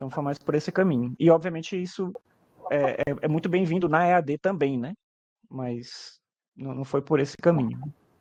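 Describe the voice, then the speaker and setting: A man talks with ordinary pitch variation, the sound dry and close with no echo. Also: fairly high pitch for a man. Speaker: teacher. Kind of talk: webinar interview. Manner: fast; casual, hesitant repetitions.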